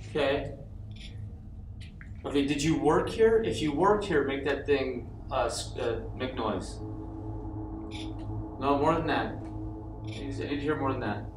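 Over noticeable background noise, a man talks at a moderate pace with long, frequent pauses. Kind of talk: questioning spirits during investigation.

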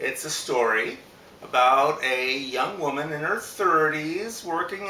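A man talks at a very slow pace with audible room echo and light background noise. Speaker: book reader. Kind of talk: casual book introduction. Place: home room. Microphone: camera far.

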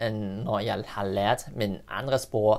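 A man with a Cantonese accent speaks at a very slow pace. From Singapore. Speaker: language learner video creator. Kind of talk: monologue to camera showing spoken languages. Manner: hesitant with fillers in weaker languages. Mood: friendly, smiling. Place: home room.

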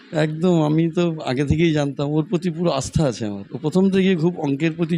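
There is noticeable background noise behind this man's fairly high-pitched voice. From West Bengal, Basirhat area. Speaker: private maths tutor. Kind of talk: short interview.

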